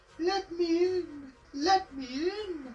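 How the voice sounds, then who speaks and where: A put-on character voice is pitched extremely high. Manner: spooky.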